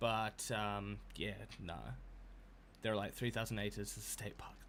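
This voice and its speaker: A man is speaking. He has a New Zealand accent. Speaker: video game streamer. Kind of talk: casual live-stream commentary. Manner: hesitant, many fillers.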